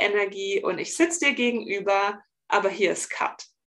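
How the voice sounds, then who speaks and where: Her speech is a plain, everyday voice: a woman at medium pitch, moving at a moderate pace with ordinary pitch variation. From Bavaria, near Augsburg. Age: 30s. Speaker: relaxation coach for highly sensitive people. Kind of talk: podcast interview.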